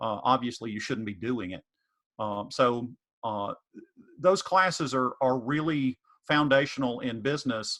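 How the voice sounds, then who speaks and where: A man's medium-pitched, bright, sharp voice in a Southern US accent, at a fairly slow pace with long, frequent pauses, big swings in loudness and ordinary pitch variation. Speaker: economics professor. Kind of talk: panel Q&A answer. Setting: virtual online info session. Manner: hesitant, many fillers.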